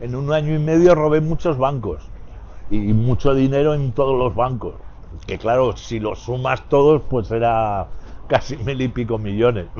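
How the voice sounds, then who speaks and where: Here is a man with an ordinary speaking voice, medium in pitch with ordinary pitch variation, talking at a fairly slow pace. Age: 60s. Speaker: former bank robber. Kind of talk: interview.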